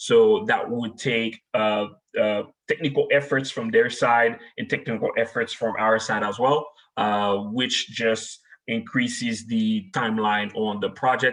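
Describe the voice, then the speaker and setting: A man speaks with a Haitian accent. His pace is fairly slow. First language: French and Haitian Creole. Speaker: technology manager. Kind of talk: webinar presentation. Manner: frequent filler words.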